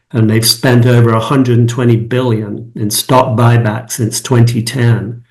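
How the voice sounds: A man speaks with an American accent and little pitch movement, with audible room echo around his voice. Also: medium pitch for a man, fairly slow pace.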